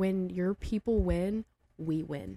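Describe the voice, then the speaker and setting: In a dry, close sound with no echo, a woman speaks with a dark, mellow tone. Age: 30s. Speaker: hairstylist and educator. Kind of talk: casual chat. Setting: studio.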